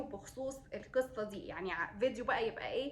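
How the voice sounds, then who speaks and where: The speaker has an Egyptian accent and ordinary pitch variation. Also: woman. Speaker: beauty vlogger, mother. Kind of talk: product review vlog. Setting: at home, kids nearby. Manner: hesitant, many fillers.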